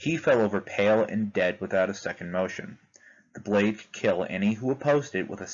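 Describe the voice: This is plain reading aloud. The words are simply read from a text.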